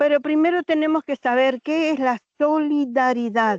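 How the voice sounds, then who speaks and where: A woman speaks at a very slow pace. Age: 60s. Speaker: abuse survivor and protective mother. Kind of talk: testimony.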